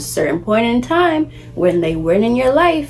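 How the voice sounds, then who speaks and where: A woman speaks with a New York accent. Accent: New York City. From Brooklyn, New York City. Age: 20s. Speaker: lifestyle vlogger. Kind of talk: casual talk to camera.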